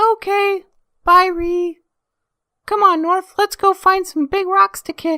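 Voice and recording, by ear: In a cartoonish character voice, a woman speaks squeaky and at an extremely high pitch, fairly slowly with long, frequent pauses, in a monotone, flat intonation and a dry, close sound with no echo.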